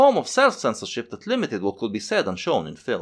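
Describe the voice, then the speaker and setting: A man talks at a fairly quick pace. The recording is very clean, with a silent background. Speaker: video essayist. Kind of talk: scripted narration. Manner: fast.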